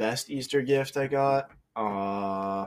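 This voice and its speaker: A man with an American accent speaks in an unremarkable speaking voice at a fairly low pitch. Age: 20s. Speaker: podcast guest. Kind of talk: casual chat.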